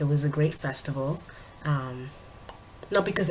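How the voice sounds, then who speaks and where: A woman's very deep, low voice in monotone, flat intonation, with noticeable background noise. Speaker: vlogger and spoken word artist. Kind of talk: casual vlog update. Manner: casual, hesitant with fillers.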